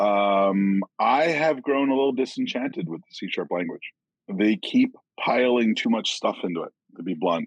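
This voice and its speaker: This is an unremarkable speaking voice: a man with an American accent at medium pitch, with lively intonation and big swings in loudness. He talks at a moderate pace, and the sound is dry and close with no echo. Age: 50s. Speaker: software developer and author. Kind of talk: casual chat.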